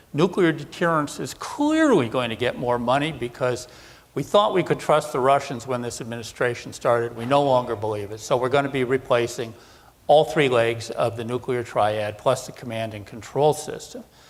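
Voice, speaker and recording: Against noticeable background noise, a man with an American accent talks at a moderate pace in a medium pitch. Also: ordinary pitch variation. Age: 60s. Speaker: defense analyst. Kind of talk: conference presentation.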